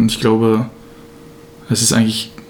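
A man speaks against noticeable background noise. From Germany, Braunschweig. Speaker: podcast co-host, student. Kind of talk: casual chat. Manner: halting, many fillers and repetitions.

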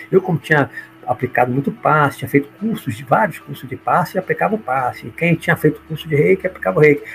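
A man's fairly high voice at a very fast pace, full of vocal fry, lively intonation and big swings in loudness. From Bahia, Brazil. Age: 60s. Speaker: judge and spiritualist speaker. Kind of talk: autobiographical talk on a livestream.

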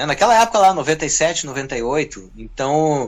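With lively intonation and a medium pitch, a man talks in a normal speaking voice. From southern Brazil (Rio Grande do Sul). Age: 40s. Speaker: guitarist and music producer. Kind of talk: interview.

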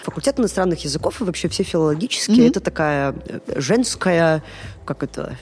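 A woman's fairly low-pitched voice with lively intonation. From Belarus, Gomel. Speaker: feminist civic activist and social entrepreneur. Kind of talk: casual interview chat. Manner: animated.

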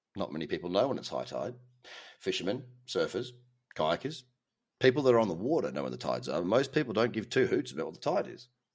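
Talking at a very fast pace with an Australian accent, a man leaves long, frequent pauses and swings widely in loudness. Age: 30s. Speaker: crypto trading podcast host. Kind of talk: casual monologue. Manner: animated.

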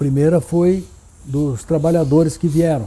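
This man's voice is dark, mellow and somewhat breathy. He speaks at a fairly slow pace with ordinary pitch variation. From Brazil, São Paulo city. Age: 70s. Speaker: town founder's grandson, former pilot. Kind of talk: interview reminiscence. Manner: halting, repeats words.

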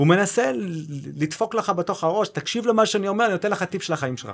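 A man's high-pitched, fairly quick voice with lively intonation over a quiet background. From South Africa, Cape Town. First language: English (speaking Hebrew). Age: 40s. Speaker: tech company founder. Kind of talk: interview.

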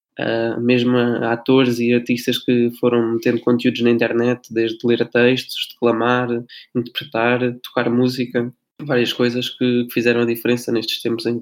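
The man's intonation stays monotone and flat while he talks at a moderate pace. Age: 20s. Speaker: drama student, podcast co-host. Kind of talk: casual podcast discussion. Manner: halting, repeats words.

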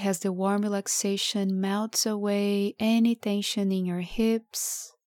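A woman speaks very slowly at medium pitch, her tone dark, mellow and soothing. The recording is very clean, dry and close, with a silent background and no echo. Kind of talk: guided meditation. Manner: slow, soothing and hypnotic, with long pauses between lines; soft-spoken, calm and gentle.

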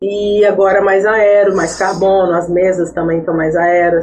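A woman talks in a plain, everyday voice. Her pace is fairly slow. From born in Iraq, raised in São José, Brazil. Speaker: track cyclist. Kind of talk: podcast interview.

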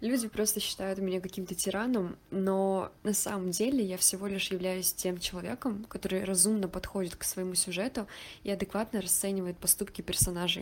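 At a fairly quick pace, a woman speaks in a medium pitch with fairly even intonation. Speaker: writer and surrealist photographer. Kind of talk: interview.

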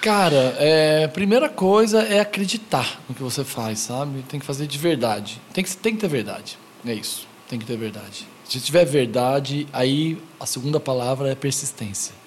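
Over noticeable background noise, a man with a fairly high voice talks at a moderate pace with lively intonation and hardly any pauses. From Goiânia, Brazil. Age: 40s. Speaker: skate shop founder. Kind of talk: casual interview.

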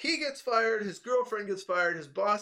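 A man's high-pitched, raised and projected voice, bright and sharp in tone, at a moderate pace. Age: 20s. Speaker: podcast host. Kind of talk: casual chat.

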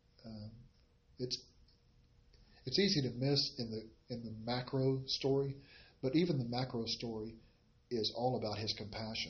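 Speaking at a moderate pace with long, frequent pauses, a man uses a medium pitch with ordinary pitch variation and a somewhat breathy voice. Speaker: Bible study teacher. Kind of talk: Bible study teaching. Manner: hesitant with fillers.

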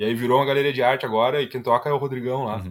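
Here a man speaks at a very fast pace and a medium pitch. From Rio Grande do Sul, Brazil (Ivoti). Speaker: product designer. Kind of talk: casual interview chat.

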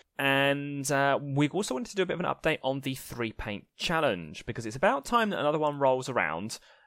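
Talking at a fairly quick pace with hardly any pauses, a man with a plain, everyday voice has a fairly high pitch and lively intonation, in a very clean recording with a silent background. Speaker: podcast co-host. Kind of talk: casual chat.

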